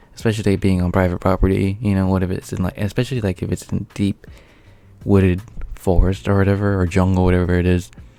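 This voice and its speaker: Music plays in the background while a man talks in a very deep, low pitch. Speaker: YouTuber reacting to a video. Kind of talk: reaction commentary. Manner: halting, many fillers.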